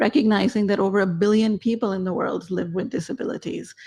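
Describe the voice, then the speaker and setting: The pitch of this woman's voice sits in the middle range. There is a somewhat breathy quality to it. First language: not English. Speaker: foundation program officer. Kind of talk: panel discussion.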